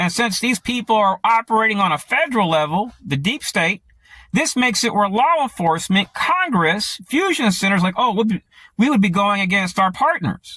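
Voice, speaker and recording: In a dry, close sound with no echo, a man uses a raised, projected voice that is high-pitched, bright and sharp in tone, with lively intonation and very even loudness. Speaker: conspiracy vlogger. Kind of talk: monologue to camera. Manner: fast.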